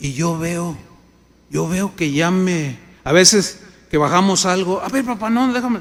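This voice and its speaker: A man's high-pitched voice with lively intonation, a fairly slow pace and long, frequent pauses, plus audible room echo. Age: 60s. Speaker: pastor. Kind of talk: sermon.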